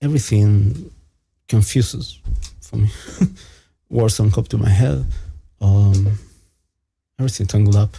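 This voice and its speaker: Speaking with a non-native accent, a man uses a fairly low, somewhat breathy voice with a dark, mellow tone, ordinary pitch variation, a fairly slow pace and long, frequent pauses. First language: not English. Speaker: stream panelist. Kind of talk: casual chat. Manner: halting.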